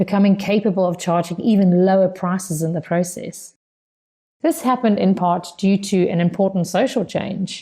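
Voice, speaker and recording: Somewhat breathy with a dark, mellow tone, a woman with a South African accent speaks with ordinary pitch variation. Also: medium pitch for a woman, moderate pace, very even loudness. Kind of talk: prepared speech for interpreting practice.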